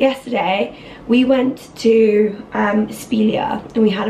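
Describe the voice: A woman speaks with vocal fry and a dark, mellow tone over faint background noise.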